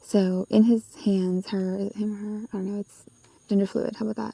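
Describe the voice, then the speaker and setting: Soft-spoken delivery at a moderate pace. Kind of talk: tarot reading. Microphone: poor sound quality.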